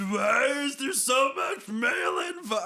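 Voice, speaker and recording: A man shouting in a put-on character voice, extremely high pitched, at a fairly slow pace. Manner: mocking, silly, exaggerated.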